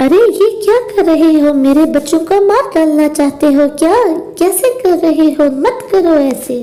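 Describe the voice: This is a cartoonish character voice. The pace is moderate. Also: female-sounding voice, extremely high pitch for a woman.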